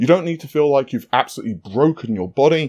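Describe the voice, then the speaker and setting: A man with a London accent, a fairly high pitch and a dark, mellow tone at a fairly quick pace, dry and close with no echo against a quiet background. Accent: British, London. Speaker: fitness youtuber. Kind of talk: casual tutorial. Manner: casual, conversational.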